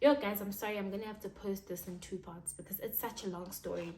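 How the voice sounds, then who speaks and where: Audible room echo surrounds this recording. A woman speaks in an animated tone at a fairly quick pace. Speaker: YouTuber. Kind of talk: storytime vlog.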